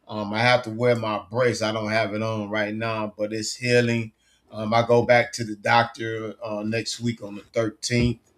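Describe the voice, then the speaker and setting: A man's fairly low, monotone, flat intonation at a moderate pace. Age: 60s. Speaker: football coach and sports talk host. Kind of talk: casual chat. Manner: halting.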